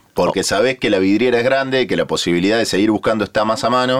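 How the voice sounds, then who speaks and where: Delivery comes at a fairly quick pace with lively intonation. It is a plain, everyday voice. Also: man. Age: 30s. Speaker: podcast host. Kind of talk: casual chat. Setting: studio.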